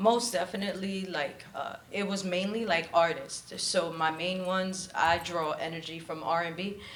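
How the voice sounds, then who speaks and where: Her intonation stays fairly even as the woman speaks. Audible room echo and noticeable background noise fill the recording. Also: medium pitch for a woman, moderate pace. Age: 30s. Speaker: spoken word poet. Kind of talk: interview; poetry performance. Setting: stage with audience.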